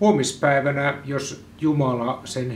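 Man with a medium pitch and a Central Finland accent, very slow pace, audible room echo and light background noise. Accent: Joutsa local Finnish dialect. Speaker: newspaper editor-in-chief. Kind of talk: ceremonial proclamation reading. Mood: solemn, mock-formal. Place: home room.

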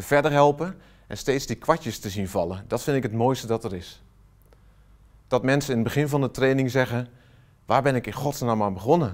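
Against a quiet background, a man talks at a moderate pace with lively intonation and long, frequent pauses. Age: 40s. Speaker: software trainer and consultant; software trainer. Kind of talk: company promo self-introduction. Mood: warm, enthusiastic. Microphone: lapel.

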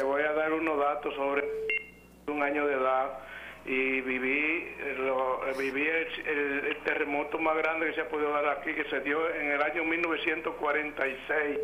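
A man talks at a fairly high pitch and a fairly slow pace, with monotone, flat intonation. His loudness stays very even over noticeable background noise. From Dominican Republic, Moca. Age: 80s+. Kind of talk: phone call-in, personal recollection. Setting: phone line.

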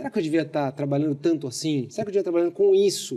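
Pitch swings very widely in a voice with a dark, mellow tone. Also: man. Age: 40s. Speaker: marketing executive and speaker; speaker. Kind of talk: casual interview chat. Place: studio.

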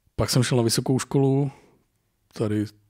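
A man with fairly even intonation and an unremarkable speaking voice, on a very clean recording with a silent background. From Czech Republic, rural forest lodge. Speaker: competitive hunting rifle shooter and hunter. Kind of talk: casual chat.

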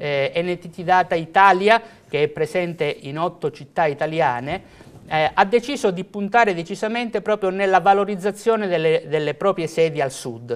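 This man's high-pitched voice moves at a moderate pace with lively intonation. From Calabria, southern Italy. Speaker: IT company executive; guest. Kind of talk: TV interview. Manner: halting with fillers. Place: studio. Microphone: lapel.

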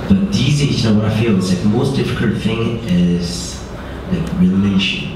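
A man with a fairly low pitch at a moderate pace, amid strong room echo and noticeable background noise. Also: ordinary pitch variation. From Korea, raised in Middle East and abroad. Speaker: startup founder. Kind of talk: on-stage interview. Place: hall.

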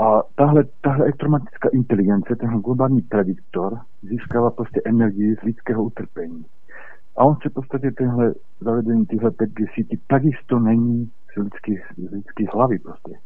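A man's normal speaking voice, medium in pitch, with ordinary pitch variation at a moderate pace. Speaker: caller. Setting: phone call.

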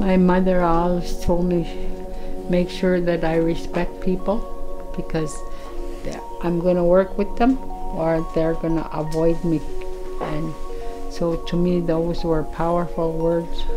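A woman's fairly low, monotone, flat voice with long, frequent pauses over clear music in the background. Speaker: community counsellor. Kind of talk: documentary interview answer. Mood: reflective, earnest. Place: home room.

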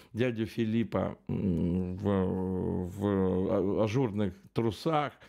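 Against a quiet background, the voice has a dark, mellow tone with ordinary pitch variation. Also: man. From Belarus. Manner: casual, profane, rambling.

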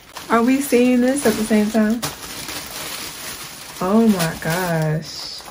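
Over noticeable background noise, a woman with an American accent speaks at a very slow pace. Her fairly high voice has lively intonation. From Southern United States. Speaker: beauty YouTuber. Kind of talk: product unboxing review. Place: home room. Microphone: phone near.

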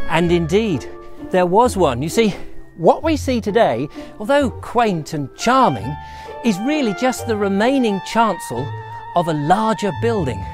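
Over clear background music, a man talks at a very slow pace in a dry sound with no echo. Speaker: presenter. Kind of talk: presenter commentary. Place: garden. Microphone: lapel.

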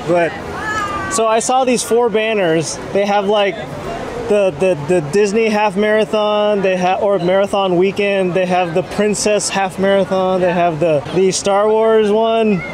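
Crowd noise can be heard in the background. The speaking pace is fairly slow. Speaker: vlogger holding camera. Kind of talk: casual vlog chat. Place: street. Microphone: phone near.

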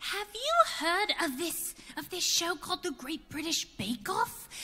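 A female-sounding voice in a put-on character voice speaks at an extremely high pitch and a fairly slow pace.

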